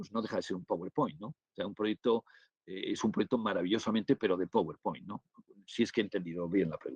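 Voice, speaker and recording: Dry and close with no echo, a man talks at a very fast pace with a fairly low pitch and ordinary pitch variation. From northern Spain. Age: 60s. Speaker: business angel investor and lecturer. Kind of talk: webinar Q&A. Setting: online webinar. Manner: halting, many fillers and restarts.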